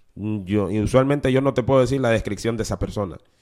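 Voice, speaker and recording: On a very clean recording with a silent background, a man speaks in an animated tone. His pitch is medium and his pace fairly quick. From Honduras, city-raised, Garifuna family. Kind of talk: testimony. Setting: studio.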